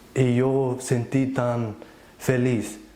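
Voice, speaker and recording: A man's medium-pitched voice, dark and mellow in tone, with audible room echo. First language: Plautdietsch (Low German) (speaking Spanish). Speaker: church member giving testimony. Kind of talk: testimony. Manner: halting, with false starts and repetitions.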